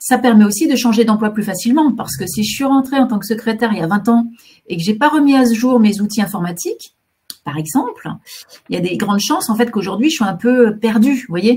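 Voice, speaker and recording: Somewhat breathy and dark, mellow in tone, a woman's fairly high voice moves with lively intonation at a fairly quick pace. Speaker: career guidance counsellor. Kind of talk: webinar presentation. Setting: online webinar. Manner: fast; hesitant, many fillers.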